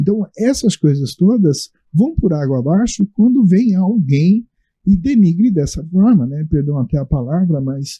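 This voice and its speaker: His pitch is high and swings very widely. The man speaks at a fairly slow pace. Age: 60s. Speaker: Umbanda religious leader. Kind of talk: panel discussion. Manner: hesitant, many fillers.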